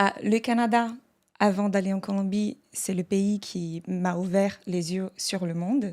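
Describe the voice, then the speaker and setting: In a Portuguese accent, the speaker goes at a very slow pace with fairly even intonation, on a very clean recording with a silent background. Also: woman, medium pitch for a woman. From Brazil. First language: Portuguese (speaking French). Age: 30s. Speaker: podcast guest, translator. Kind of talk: casual podcast conversation.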